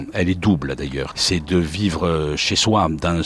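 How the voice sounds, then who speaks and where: This man's very deep, low pitch comes through noticeable background noise. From southern France, Montpellier. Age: 60s. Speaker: retired sports commentator. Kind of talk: interview, life story. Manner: hesitant, frequent 'euh' fillers.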